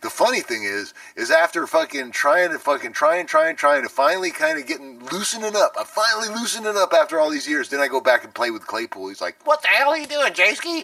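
A man with an American accent talks at a very fast pace with hardly any pauses. His loudness swings widely over noticeable background noise. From San Francisco, California. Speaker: drummer. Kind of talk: casual interview.

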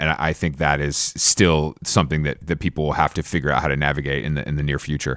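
Very deep and low with vocal fry, a man's voice rushes along at a very fast pace. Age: 30s. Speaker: fashion consultant. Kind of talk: interview. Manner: casual.

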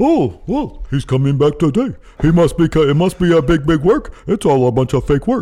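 Using a put-on character voice, a man talks at a moderate pace. His loudness stays very even. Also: fairly high pitch for a man, lively intonation. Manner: dumb, clueless.

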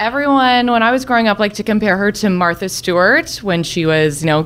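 A woman's pitch swings very widely as she speaks at a moderate pace, with noticeable background noise behind her. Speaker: storyteller. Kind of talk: storytelling.

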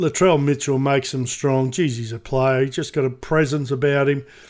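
With fairly even intonation, the voice speaks in an Australian accent. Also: man, very clean recording, silent background. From Queensland, Australia. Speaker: sports radio personality, podcast co-host. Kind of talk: casual chat. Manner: halting, repeats words.

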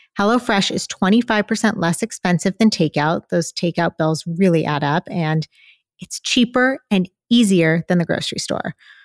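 A woman speaks in an unremarkable speaking voice at a moderate pace, her pitch medium with ordinary variation. The sound is dry and close, with no echo. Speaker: podcast co-host, dietitian.

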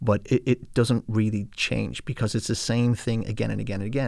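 In an Irish accent, a man speaks at a moderate pace with a fairly low pitch and fairly even intonation. The recording is very clean, with a silent background. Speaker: financial advisor. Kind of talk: casual interview.

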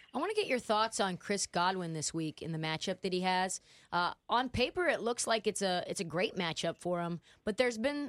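Speaking at a fairly quick pace, a woman with medium pitch has a plain, everyday voice in a very clean recording with a silent background. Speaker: sports betting radio host. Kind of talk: casual sports talk.

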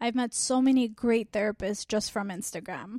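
Using a plain, everyday voice, a woman with an American accent talks at a moderate pace and fairly high pitch with fairly even intonation, on a very clean, dry, close recording with no echo and a silent background. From Armenian community, US. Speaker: family therapist. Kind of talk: interview.

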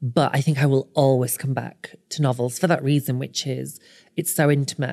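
At a moderate pace, a dark, mellow tone with vocal fry holds a fairly even intonation. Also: woman, very deep, low pitch for a woman. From northern England. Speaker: author. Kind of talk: casual chat.

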